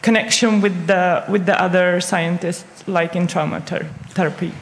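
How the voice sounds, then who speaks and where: Through audible room echo and noticeable background noise, a woman speaks with monotone, flat intonation. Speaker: audience member. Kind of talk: audience question. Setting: stage with audience. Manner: halting.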